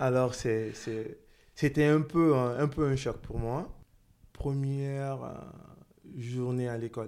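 At a very slow pace, a man speaks with fairly even intonation and medium pitch. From Guinea, then teens in the US (Atlanta). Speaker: interviewee sharing his life story. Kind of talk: interview testimony.

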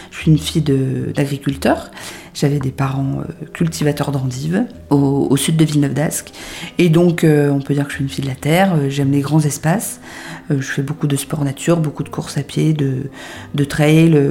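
The voice moves at a moderate pace with ordinary pitch variation amid noticeable background noise. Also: woman, very deep, low pitch for a woman. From northern France (Hauts-de-France, near Lille). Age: 30s. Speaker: entrepreneur. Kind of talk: interview. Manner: hesitant, many fillers and repetitions.

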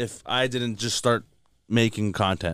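This man has a Toronto accent and a medium pitch. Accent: Canadian English, Toronto. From Canada. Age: 20s. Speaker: comedian. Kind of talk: casual chat. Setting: studio. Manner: animated.

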